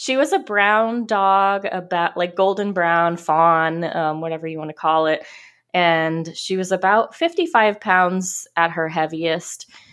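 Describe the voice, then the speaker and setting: An unremarkable speaking voice from a woman, medium in pitch, at a fairly slow pace against a quiet background. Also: ordinary pitch variation. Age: 30s. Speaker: author. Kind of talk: casual chat.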